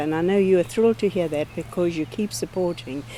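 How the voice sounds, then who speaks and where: Lively intonation comes through over noticeable background noise. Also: woman. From South Africa. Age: 80s+. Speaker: missionary. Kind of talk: ministry update address.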